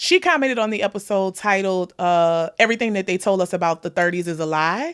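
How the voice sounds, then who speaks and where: An animated voice with a slight New Orleans accent on a very clean recording with a silent background. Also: woman. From US South, New Orleans. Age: 30s. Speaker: podcast host. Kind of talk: casual chat.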